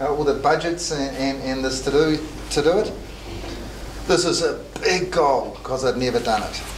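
A fairly high male voice in a New Zealand accent, with ordinary pitch variation, a moderate pace and long, frequent pauses, against noticeable background noise. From New Zealand, Christchurch. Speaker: accountant and software entrepreneur; presenter. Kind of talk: motivational talk to students. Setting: classroom with live audience. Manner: halting. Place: meeting room. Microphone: camera far.

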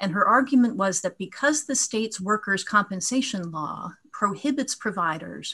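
There is no background sound as a woman talks. Her speed is neither fast nor slow. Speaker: appellate lawyer. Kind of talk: oral legal argument. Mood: formal, measured. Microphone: video call.

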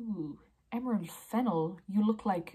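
Somewhat breathy and with an Irish accent, the voice moves at a fairly slow pace with lively intonation over a quiet background. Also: woman. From Ireland. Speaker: blogger. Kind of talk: casual talk to camera. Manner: playful, judgemental. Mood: playful, judgemental. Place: home room. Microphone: phone near.

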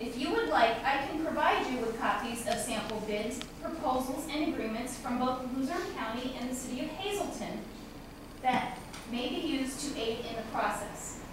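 With clear background noise and audible room echo, a woman talks at a moderate pace in a high pitch with ordinary pitch variation.

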